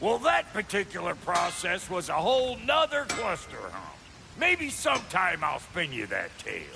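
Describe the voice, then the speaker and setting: Over clear background noise, a man puts on a gruff, drawling character voice at a high pitch, moving at a moderate pace. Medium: video game. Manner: folksy, gruff drawl.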